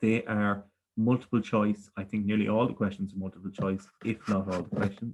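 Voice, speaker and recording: Speaking fairly quickly with a Galway accent, a man delivers his words in a monotone, flat intonation. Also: fairly low pitch for a man. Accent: rural west of Ireland (Galway), noticeable. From Ireland, Galway. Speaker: primary school teacher, quiz master. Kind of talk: quiz presentation for children. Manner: friendly, measured, frequent 'okay' fillers.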